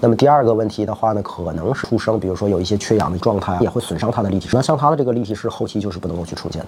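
Very fast speech against noticeable background noise. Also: man. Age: 40s. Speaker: optometrist and eyewear shop owner. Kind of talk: interview chat.

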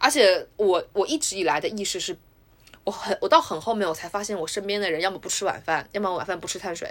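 Lively intonation at a very fast pace. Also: woman, medium pitch for a woman. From Wuhan, China. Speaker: podcast host. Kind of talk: casual chat.

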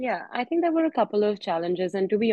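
A woman speaks with an Indian accent. Her pace is very fast. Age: young. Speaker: podcast host. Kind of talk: casual chat. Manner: talkative.

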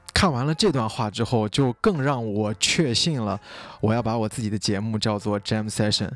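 In a very clean recording with a silent background, a man with an ordinary speaking voice talks at a moderate pace, his medium pitch showing ordinary variation. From Xinjiang, China. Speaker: podcast host and clothing brand founder. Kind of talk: solo podcast monologue. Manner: casual with frequent fillers.

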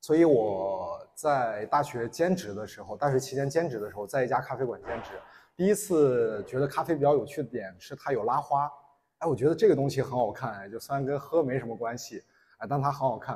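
Breathing somewhat audibly, a man speaks at medium pitch and a fairly quick pace, with lively intonation and big swings in loudness. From Inner Mongolia. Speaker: barista and coffee instructor. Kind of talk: public talk.

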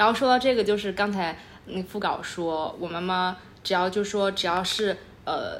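A woman speaks at a moderate pace in a normal speaking voice. Her pitch sits in the medium range and varies in an ordinary way. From Chengdu, Sichuan, China. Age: 20s. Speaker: podcast co-host. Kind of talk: casual chat.

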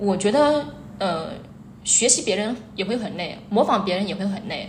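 A woman's medium-pitched voice amid audible room echo and noticeable background noise. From Hubei, China (Xiantao). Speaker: short-video educator, former primary school teacher. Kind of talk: interview chat. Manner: hesitant, many fillers.

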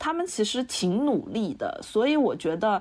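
A woman's voice moves at a moderate pace with very wide pitch swings. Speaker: visual designer. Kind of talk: casual chat.

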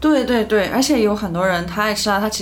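With audible room echo and noticeable background noise, a woman at a medium pitch talks at a fairly quick pace, her pitch varying in an ordinary way. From Chengdu, Sichuan, China. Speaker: media worker. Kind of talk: casual chat.

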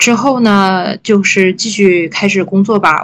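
This woman has a normal speaking voice, pitched mid-range, and her intonation stays fairly even. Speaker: podcast co-host, PhD student. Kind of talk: casual chat.

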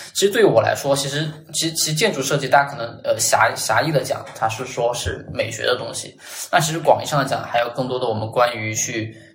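A fairly high-pitched man talks at a very fast pace with ordinary pitch variation, over noticeable background noise and audible room echo. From Chongqing, China. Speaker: designer. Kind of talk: casual chat.

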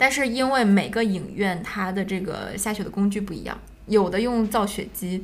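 A woman's medium-pitched voice at a moderate pace with fairly even intonation, audible room echo and noticeable background noise. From Harbin, northeast China. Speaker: film podcast host. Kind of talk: casual chat.

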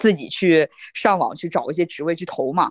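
In a strong northeastern Chinese accent, a woman speaks at a fairly low pitch with ordinary pitch variation, the sound dry and close with no echo and the background quiet. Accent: strong Northeastern Mandarin. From Northeast China. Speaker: data scientist. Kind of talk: casual interview chat.

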